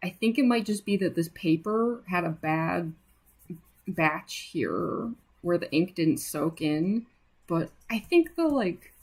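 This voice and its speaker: A woman with an American accent, somewhat breathy and very slow, her intonation lively. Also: fairly low pitch for a woman. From US Midwest. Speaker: artist livestreamer. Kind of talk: casual livestream chat while drawing. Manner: casual, many fillers.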